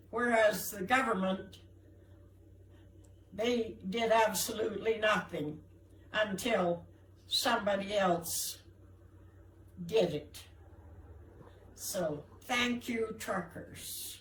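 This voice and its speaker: Long, frequent pauses break up delivery that unfolds at a very slow pace. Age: 80s+. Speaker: senior protester. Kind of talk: protest speech.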